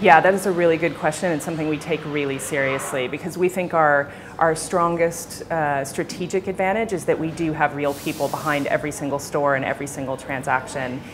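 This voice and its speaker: With music in the background, a woman speaks at a fairly quick pace with hardly any pauses, her pitch very deep and low and her intonation fairly even. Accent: American. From United States. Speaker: tech company executive. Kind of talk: interview.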